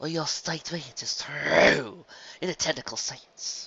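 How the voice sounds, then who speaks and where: This man uses a put-on character voice with a fairly high pitch. He speaks at a fairly slow pace. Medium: read story. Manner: cold, formal, disapproving.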